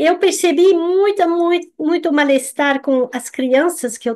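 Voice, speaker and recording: Her delivery comes at a fairly unhurried pace, with a French accent. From France. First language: French (speaking Portuguese). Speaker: nutritionist. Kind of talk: live stream talk. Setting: live stream. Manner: halting.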